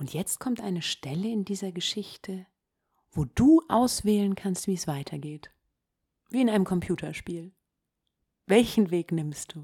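A woman's medium-pitched, somewhat breathy voice with a dark, mellow tone and lively intonation, fairly slow with long, frequent pauses, on a very clean recording with a silent background. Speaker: meditation podcast host and storyteller. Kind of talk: guided meditation. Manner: calm, slow, soothing, second-person storytelling.

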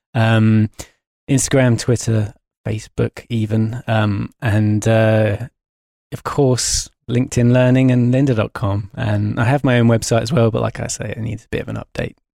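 With an English accent, a man speaks at a moderate pace and medium pitch in a dark, mellow tone, his intonation monotone and flat, his loudness swinging widely, and the sound dry and close with no echo. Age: 30s. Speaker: motion designer. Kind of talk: interview. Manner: halting.

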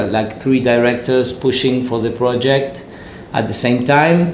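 With a Spanish accent, a man speaks at a medium pitch with fairly even intonation, amid audible room echo and noticeable background noise. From Argentina. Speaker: commercial director. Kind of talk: casual interview. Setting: studio.

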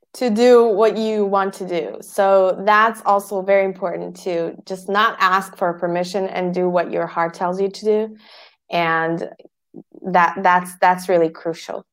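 A woman's monotone, flat delivery at a fairly slow pace over a very clean recording with a silent background. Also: medium pitch for a woman. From Bosnia. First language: Bosnian. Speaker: podcast agency founder. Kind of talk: interview.

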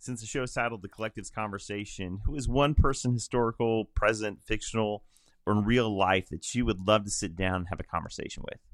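On a very clean recording with a silent background, a man in a normal speaking voice, with an American accent, speaks fairly quickly at a fairly low pitch with ordinary pitch variation. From Illinois. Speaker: podcast host, pastor. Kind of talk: casual chat.

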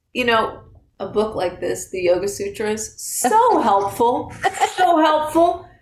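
Amid audible room echo, a woman with an American accent speaks at a very slow pace, her pitch swinging very widely. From Northern California (Marin County). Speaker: yoga teacher and studio owner. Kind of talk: casual interview.

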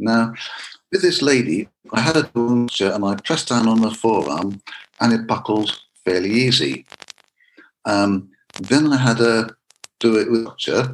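This man talks at a fairly slow pace with long, frequent pauses. His medium-pitched voice carries lively intonation. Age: 50s. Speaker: karate instructor. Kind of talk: interview.

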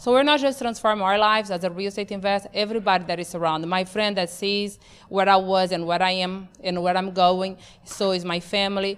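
Fairly quick speech from a woman in a Portuguese accent, medium-pitched, with fairly even intonation. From Brazil, Amazon region. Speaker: real estate investor and show host. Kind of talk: personal testimony.

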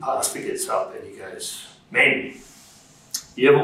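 Speaking at a moderate pace with an Australian accent, a man is heard over noticeable background noise. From Perth, Western Australia. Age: 60s. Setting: studio.

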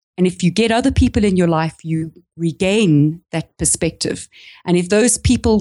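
A woman with a South African accent and a fairly low pitch talks at a moderate pace with lively intonation, recorded in a dry, close sound with no echo. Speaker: small business coach. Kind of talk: casual interview. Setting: remote call.

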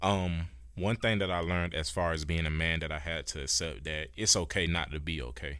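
Very deep and low, the man's voice carries vocal fry and ordinary pitch variation. The recording is very clean, with a silent background. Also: fairly quick pace. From Georgia, Warner Robins. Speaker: student government president. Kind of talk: interview.

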